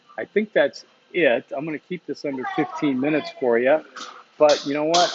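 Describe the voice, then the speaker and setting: Against noticeable background noise, a man speaks with a fairly high pitch and ordinary pitch variation. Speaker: university instructor. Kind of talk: recorded lecture. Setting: coffee shop. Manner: fast.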